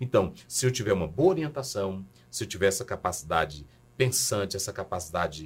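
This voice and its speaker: Somewhat breathy and fairly low-pitched, a man speaks at a fairly quick pace with very wide pitch swings. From Brazil, Maranhão. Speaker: pastor and professor. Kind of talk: podcast interview.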